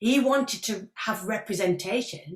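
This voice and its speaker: Lively intonation from a woman with a strong northern English accent. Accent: thick northern English. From northern England. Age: 50s. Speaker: actress. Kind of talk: interview Q&A. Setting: video call. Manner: animated.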